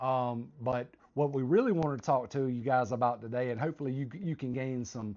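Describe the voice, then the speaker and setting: This man's voice rests at a medium pitch as he talks at a fairly quick pace. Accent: Southern US. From US South, South Carolina. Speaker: retired military vlogger. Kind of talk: casual chat. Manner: halting.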